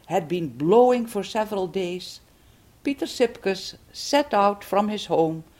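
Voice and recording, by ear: The passage is read aloud in a natural voice.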